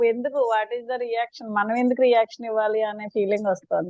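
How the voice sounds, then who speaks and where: A woman speaks in a high pitch. The sound is dry and close, with no echo. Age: 60s. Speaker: schoolteacher. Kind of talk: testimonial feedback. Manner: halting.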